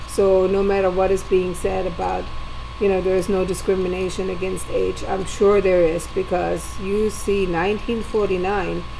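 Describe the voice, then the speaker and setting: Audible room echo colors this woman's voice. She talks at a moderate pace amid noticeable background noise. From Germany. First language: German. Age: 60s. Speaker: video diarist. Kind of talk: personal video diary monologue.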